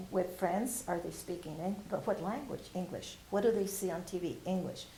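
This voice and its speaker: With a Spanish accent and fairly even intonation, the voice comes through audible room echo and noticeable background noise. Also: woman. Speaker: retired bilingual teacher. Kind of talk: oral history interview. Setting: university library, on camera.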